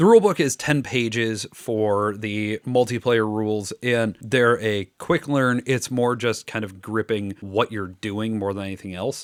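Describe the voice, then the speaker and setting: A man with an American accent talks at a moderate pace in a dry, close sound with no echo. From US Midwest. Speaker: board game reviewer. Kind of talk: casual review conversation.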